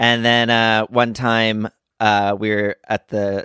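In a dry, close recording with no echo and a silent background, a man with an American accent speaks in a monotone at a fairly low pitch, his tone bright and sharp. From New Jersey. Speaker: actor and comedian. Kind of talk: casual chat.

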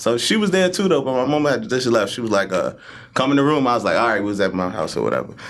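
A man talks at a very fast pace with very wide pitch swings. Noticeable background noise runs underneath. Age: 30s. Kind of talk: casual chat.

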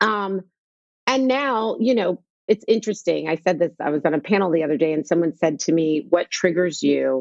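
With an American accent, this unremarkable speaking voice moves at a moderate pace with lively intonation and a dry, close sound with no echo. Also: woman, fairly low pitch for a woman. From US Northeast (New York / New Jersey). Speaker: skincare entrepreneur. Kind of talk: casual interview.

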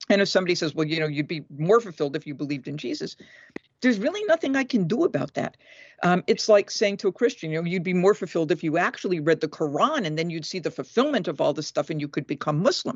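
A woman's fairly low voice, very fast, with lively intonation. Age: 60s. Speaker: biblical scholar and author. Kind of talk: interview conversation.

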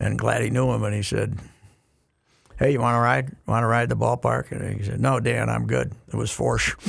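With an American accent, a man speaks in a very deep, low pitch with vocal fry and very wide pitch swings. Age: 70s. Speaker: sports columnist. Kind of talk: casual chat. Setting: studio.

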